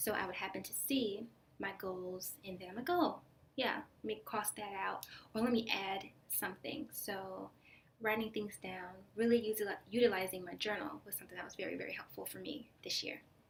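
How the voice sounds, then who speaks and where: Loudness swings widely as a woman talks. Her pitch is medium, with ordinary pitch variation. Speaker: video blogger. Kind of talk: casual monologue. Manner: fast; hesitant with many fillers.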